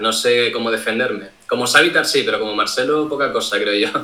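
A man's moderate-paced speech comes through with noticeable background noise. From Canary Islands, Tenerife. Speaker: cybersecurity streamer. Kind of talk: interview. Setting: live stream call, camera off.

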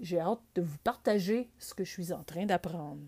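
Against a silent background in a very clean recording, a woman speaks at a fairly slow pace in an ordinary speaking voice with ordinary pitch variation. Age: 50s. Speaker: podcaster. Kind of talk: solo podcast monologue. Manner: conversational.

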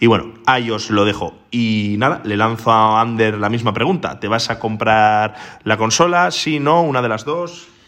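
A man with a normal speaking voice and a medium pitch talks at a moderate pace with hardly any pauses and ordinary pitch variation. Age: 30s. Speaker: podcast host. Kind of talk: casual chat.

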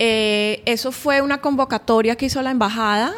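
Moving at a moderate pace with ordinary pitch variation, a woman speaks in an unremarkable speaking voice. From Colombia, Barranquilla (Caribbean coast). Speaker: painter. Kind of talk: interview. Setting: artist's studio.

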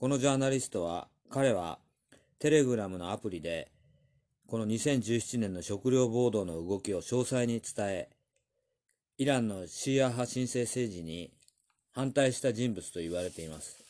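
This man speaks at a moderate pace and medium pitch, with a dark, mellow tone and lively intonation. His loudness swings widely, long pauses come often, and the background is quiet. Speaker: news commentator. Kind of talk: news commentary monologue. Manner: casual with many fillers.

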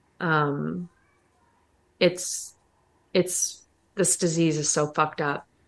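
A woman speaks at a very slow pace with a fairly low pitch. Her intonation is monotone and flat, broken by long, frequent pauses. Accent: American. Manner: casual, profane, joking.

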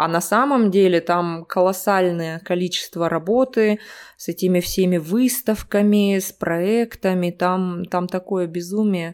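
Intonation stays fairly even as the voice proceeds at a fairly slow pace. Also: woman, medium pitch for a woman. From Russia, Omsk. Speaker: Russian language teacher. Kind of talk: casual interview. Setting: remote call.

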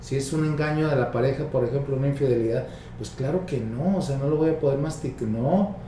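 Noticeable background noise and audible room echo around a man, moderate in pace, with ordinary pitch variation. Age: 50s. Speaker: psychologist. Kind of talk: interview.

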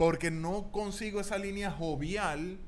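Audible room echo surrounds a man who talks fairly slowly. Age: 30s. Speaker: podcast co-host. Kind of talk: casual chat.

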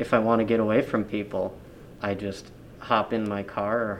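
Speaking fairly slowly, a man keeps a fairly low pitch and a monotone, flat intonation. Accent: American. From Upper Peninsula of Michigan, Marquette. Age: 20s. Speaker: tourism office manager. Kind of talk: interview. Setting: office, wearing mask.

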